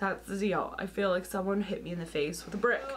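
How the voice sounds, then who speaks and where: A woman speaks loudly. Noticeable background noise is present. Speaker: lifestyle YouTuber. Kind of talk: casual vlog talk to camera. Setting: home.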